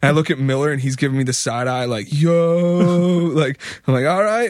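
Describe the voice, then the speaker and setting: With a Philadelphia accent, a man talks at a fairly quick pace with ordinary pitch variation. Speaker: musician. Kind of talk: casual chat. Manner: animated.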